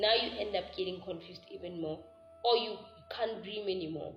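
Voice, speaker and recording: A woman talks at a moderate pace with ordinary pitch variation. Music plays in the background. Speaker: spiritual healer and teacher. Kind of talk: teaching monologue to camera. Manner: casual, conversational.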